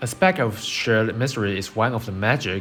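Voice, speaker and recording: Background music under a man's moderately paced speech at medium pitch. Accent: non-native. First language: not English. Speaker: game guide creator. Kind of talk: game build tutorial.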